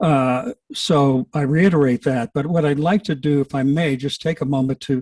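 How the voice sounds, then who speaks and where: This man has a fairly high pitch and a dark, mellow tone, sounding somewhat breathy at a moderate pace with ordinary pitch variation in a dry, close recording with no echo. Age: old. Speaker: public commenter at county meeting. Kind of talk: public comment at hearing. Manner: halting.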